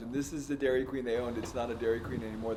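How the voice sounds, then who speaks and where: A man with an American accent, over noticeable background noise and audible room echo. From US West Coast, San Diego. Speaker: entrepreneur and podcast host. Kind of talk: casual chat; travel vlog narration.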